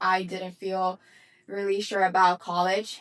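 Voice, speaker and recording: There is noticeable background noise behind this woman. She speaks at medium pitch with a Dominican accent. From Dominican Republic. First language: Spanish. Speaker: business coach. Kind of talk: motivational talk.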